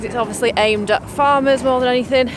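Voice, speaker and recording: A woman talks at a fairly quick pace with ordinary pitch variation, the sound dry with no echo and faint music in the background. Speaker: family vlogger. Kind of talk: casual vlog chat. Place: open country. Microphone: phone near.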